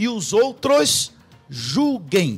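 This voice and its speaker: This is a man's voice. His intonation is lively. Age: 60s. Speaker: pastor. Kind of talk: radio debate. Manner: animated.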